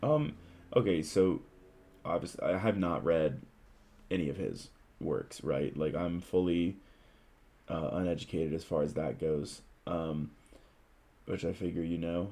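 The voice has a dark, mellow tone and ordinary pitch variation. It moves at a fairly slow pace with long, frequent pauses. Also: man, very deep, low pitch for a man. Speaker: podcast co-host. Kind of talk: casual chat.

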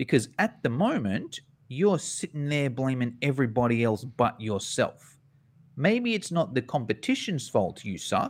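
A man with an Australian accent at medium pitch, a fairly slow pace, and very wide pitch swings, on a very clean recording with a silent background. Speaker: fitness business educator. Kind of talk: interview.

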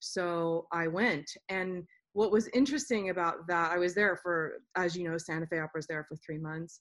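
Fairly low-pitched woman with a plain, everyday voice, ordinary pitch variation and a moderate pace. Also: quiet background. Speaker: opera singer and podcast host. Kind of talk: casual chat.

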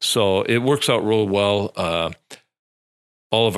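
A man with an Upper Midwest accent, very deep and low in pitch, at a fairly slow pace, on a very clean recording with a silent background. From central Wisconsin. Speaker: police chief. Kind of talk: radio interview. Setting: studio. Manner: halting, many fillers.

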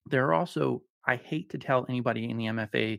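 In a very clean recording with a silent background, a man with an American accent talks with ordinary pitch variation in a dry, close sound with no echo. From Colorado. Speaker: writer and podcast host. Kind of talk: casual chat. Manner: calm, radio-like delivery.

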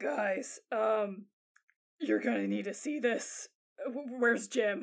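Using a raspy put-on character voice, a woman speaks at a fairly high pitch and a very slow pace. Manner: urgent, panting.

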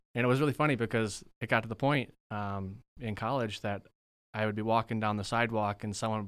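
A man with an American accent and an ordinary speaking voice, medium pitch, fairly even intonation, a fairly quick pace, on a very clean recording with a silent background. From northern Wisconsin (Rhinelander). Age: 20s. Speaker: religious studies graduate and Bible teacher. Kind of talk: casual interview.

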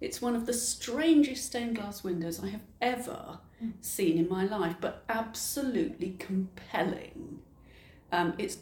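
A woman speaks at a fairly slow pace in an unremarkable speaking voice. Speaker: heritage interpretation officer. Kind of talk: casual interview. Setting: in a cathedral.

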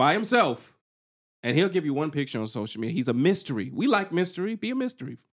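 With an American accent and an animated tone, a man talks very fast at a fairly high pitch, using vocal fry and very wide pitch swings, on a very clean recording with a silent background. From US South. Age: 40s. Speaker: podcast co-host. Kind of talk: casual chat.

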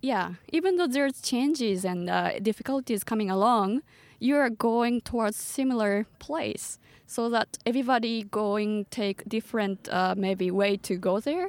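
On a very clean recording with a silent background, a woman with a Japanese accent speaks at a fairly slow pace and fairly high pitch, her loudness very even and the sound dry and close with no echo. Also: ordinary pitch variation. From Japan, Tochigi Prefecture. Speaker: startup community co-founder. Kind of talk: podcast interview. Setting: parked van.

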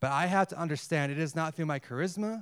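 An unremarkable speaking voice from a man with an American accent, fairly high in pitch with ordinary pitch variation, in a very clean recording with a silent background. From United States. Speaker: missionary. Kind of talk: sermon. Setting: church.

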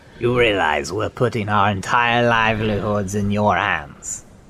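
Using a put-on character voice, a man talks at a moderate pace with fairly low pitch over clear background noise. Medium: actual play. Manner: hesitant, stammering.

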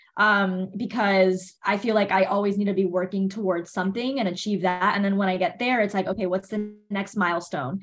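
A woman with an American accent speaks in a normal speaking voice at a medium pitch and moderate pace. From Miami, Florida. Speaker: entrepreneur, denim company founder. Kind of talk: interview.

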